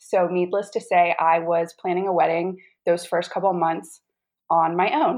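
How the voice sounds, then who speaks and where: With an American accent, a woman talks in a normal speaking voice, fairly low-pitched, with fairly even intonation at a moderate pace. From North Carolina. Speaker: integrative health coach, chronic illness patient. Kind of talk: interview, personal testimony.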